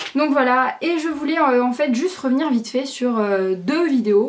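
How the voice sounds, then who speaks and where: A woman speaks at a fairly slow pace. Her voice is high-pitched. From southern France, Aix-en-Provence. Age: young. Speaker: YouTuber. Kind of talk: casual vlog to camera. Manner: hesitant, many fillers.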